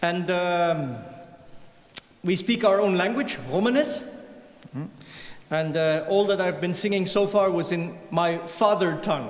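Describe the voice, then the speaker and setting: A man with a Flemish Belgian accent speaks at a high pitch and a fairly slow pace, with ordinary pitch variation and long, frequent pauses. Audible room echo and noticeable background noise fill the recording. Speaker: violinist and singer. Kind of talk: stage talk to concert audience.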